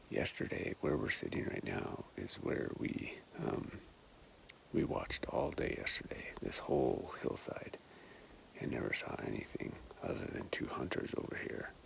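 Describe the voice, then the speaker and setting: Noticeable background noise runs beneath whispering at a moderate pace. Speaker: hunter. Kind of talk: vlog narration while hunting. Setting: outdoors on a mountain ridge. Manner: soft-spoken.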